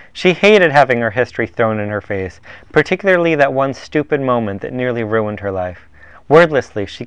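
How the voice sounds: The clip is a natural reading voice with lively intonation.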